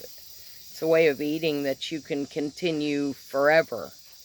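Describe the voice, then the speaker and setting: Over noticeable background noise, a woman speaks at a fairly slow pace with a very deep, low pitch. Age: 60s. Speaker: vlogger sharing personal diet journey. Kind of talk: personal testimony monologue.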